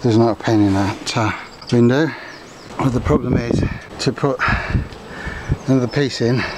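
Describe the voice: A man speaks at a moderate pace with a slightly mellow tone, faint background noise behind him.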